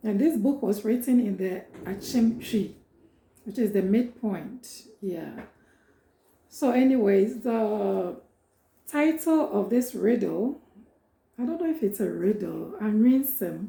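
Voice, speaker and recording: With a Ghanaian accent, a woman speaks very slowly at a fairly high pitch, leaving long, frequent pauses. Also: ordinary pitch variation. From Ghana, Ashanti and Akyem. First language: Twi. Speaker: prophetess and cultural educator. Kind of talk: informal talk introducing a reading.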